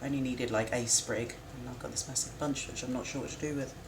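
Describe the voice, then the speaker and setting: A woman talking very fast in a flat monotone, with noticeable background noise and audible room echo. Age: 40s. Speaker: cooking streamer. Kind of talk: live stream cooking chat. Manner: casual, chatty.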